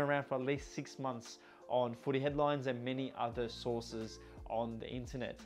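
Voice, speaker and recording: A man speaks with an Australian accent. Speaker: football shirt collector and reviewer. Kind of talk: casual product review.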